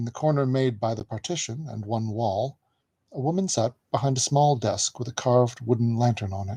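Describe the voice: A plain read-aloud against a hushed backdrop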